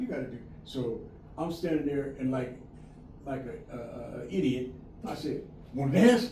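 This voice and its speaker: A medium-pitched male voice comes through noticeable background noise. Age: 80s+. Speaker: community elder and fatherhood movement founder. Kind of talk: interview answer. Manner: casual storytelling.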